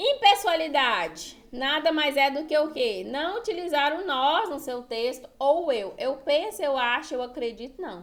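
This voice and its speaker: Hardly pausing, a woman with a high pitch speaks at a fairly slow pace with lively intonation. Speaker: writing teacher for exam prep. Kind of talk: online lecture.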